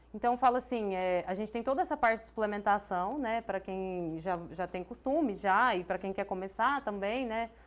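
Delivered at a moderate pace, the speech has hardly any pauses. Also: woman, ordinary pitch variation. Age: 30s. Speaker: business owner; guest. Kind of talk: interview. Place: studio. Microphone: lapel.

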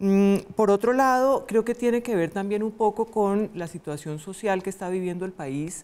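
Speaking at a fairly slow pace, a woman shows ordinary pitch variation. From Colombia. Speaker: constitutional lawyer and political analyst; constitutional lawyer, political analyst. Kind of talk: panel discussion. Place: studio. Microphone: lapel.

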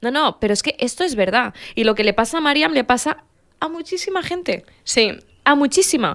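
A woman speaks at a fairly quick pace in a high pitch, her tone bright and sharp. Her pitch swings very widely against a quiet background. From Morocco (Casablanca), Rif family. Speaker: podcast co-host. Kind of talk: casual chat. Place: studio. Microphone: studio mic.

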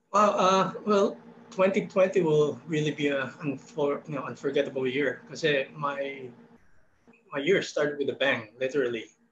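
At a moderate pace and fairly high pitch, a man talks with ordinary pitch variation and long, frequent pauses, with noticeable background noise behind him. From Philippines. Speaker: painter; guest. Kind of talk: artist interview. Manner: hesitant with fillers. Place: home room. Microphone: video call.

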